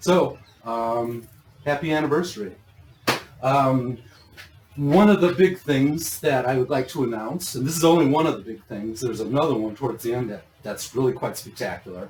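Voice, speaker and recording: A man with an American accent at medium pitch, lively intonation and a moderate pace, against noticeable background noise. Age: 60s. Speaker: grow systems business owner and vlogger. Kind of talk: casual chat. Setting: shop showroom.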